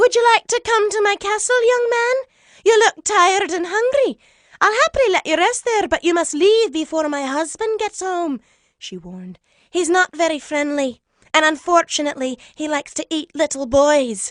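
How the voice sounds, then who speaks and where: A female-sounding put-on character voice, extremely high in pitch, raised and projected, at a moderate pace. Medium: read story. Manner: warm.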